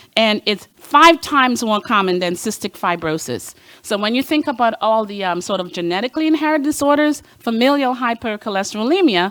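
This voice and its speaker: Her fairly high voice swings very widely in pitch as this woman speaks at a fairly quick pace. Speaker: cardiologist. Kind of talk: lecture. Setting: stage with audience. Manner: fast.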